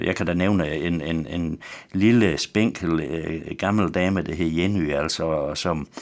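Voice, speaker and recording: Very slow and very deep, a man's low-pitched voice carries a West Jutland accent and ordinary pitch variation. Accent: West Jutlandic Danish. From West Jutland, Denmark. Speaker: pastor. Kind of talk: radio interview. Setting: radio studio. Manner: halting.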